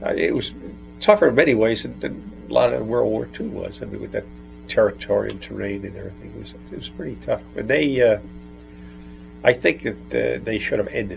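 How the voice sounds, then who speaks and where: A man talking at a fairly quick clip, his loudness swinging widely, with music playing behind him. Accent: American. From New Jersey. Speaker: World War II veteran. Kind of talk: interview answer.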